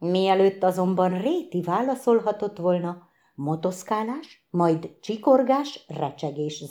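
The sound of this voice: The clip has an unforced reading voice with lively intonation.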